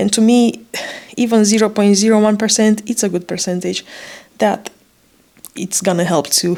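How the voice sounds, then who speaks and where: Her pitch moves in an ordinary way as a woman talks with a non-native accent. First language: not English. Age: 30s. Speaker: vlogger sharing pregnancy story. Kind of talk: personal testimony vlog. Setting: hospital room. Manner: hesitant, with frequent fillers.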